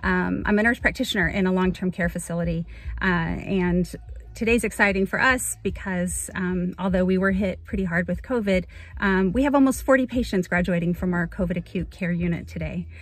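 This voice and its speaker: A woman talks at a fairly quick pace, and the sound is dry with no echo. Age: 40s. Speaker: nurse practitioner and model contest entrant. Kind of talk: casual self-introduction video. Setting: in a car. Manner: halting with many fillers. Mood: warm, upbeat. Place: car. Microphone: phone near.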